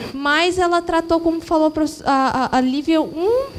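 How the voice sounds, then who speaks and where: Against noticeable background noise, a woman with a Mato Grosso do Sul accent talks at a high pitch and fairly slow pace with ordinary pitch variation. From Mato Grosso do Sul, Brazil. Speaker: social worker in audience. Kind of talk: audience comment at lecture. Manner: halting.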